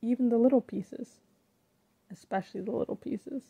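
A woman's somewhat breathy, dark, mellow voice with ordinary pitch variation and a dry, close sound with no echo. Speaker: poet. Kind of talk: spoken word poetry performance.

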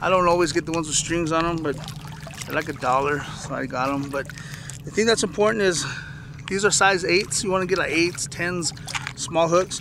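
Noticeable background noise runs under a man speaking in a high pitch. His pace is moderate, his pitch variation ordinary, and the sound dry with no echo. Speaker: fishing vlogger. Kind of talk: tutorial. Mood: relaxed, friendly. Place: waterside. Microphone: phone near.

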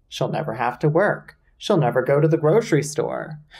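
Somewhat breathy, a man talks at a moderate pace. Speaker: video essay host. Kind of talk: comedic commentary recap. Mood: sarcastic, playful. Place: home room.

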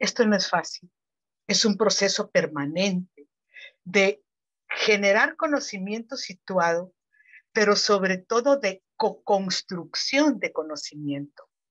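Over a quiet background, a woman speaks. Her pace is very slow. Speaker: researcher commentator. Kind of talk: formal commentary. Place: home room. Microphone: earbuds.

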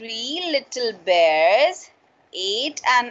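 A woman with a high pitch speaks at a very slow pace, her pitch swinging very widely. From India. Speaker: school English teacher. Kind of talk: online class lesson. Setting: video call. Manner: code-switching Hindi and English. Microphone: video call.

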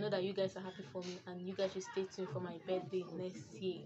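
A woman speaks very fast with a Nigerian accent at a medium pitch. There is noticeable background noise. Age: 20s. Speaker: vlogger. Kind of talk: vlog intro. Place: home room. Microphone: phone near.

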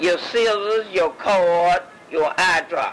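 A woman speaks with an American accent. Noticeable background noise runs under her voice. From Mississippi. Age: 80s+. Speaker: retired midwife. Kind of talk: interview answer. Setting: home recording.

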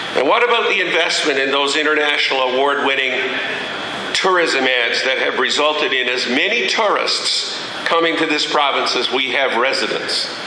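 Through noticeable background noise and audible room echo, a man speaks at a fairly high pitch with ordinary pitch variation. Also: moderate pace. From Newfoundland, Canada. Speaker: politician. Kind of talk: public speech. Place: hall. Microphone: podium.

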